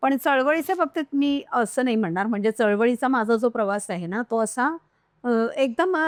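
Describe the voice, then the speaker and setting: A woman with a plain, everyday voice and lively intonation speaks over a quiet background, the sound dry and close with no echo. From Konkan, Maharashtra (Malvan taluka, Sindhudurg). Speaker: professor and social activist. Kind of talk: interview.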